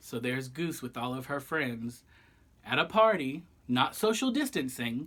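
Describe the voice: Fairly bright tone, lively intonation and a fairly slow pace.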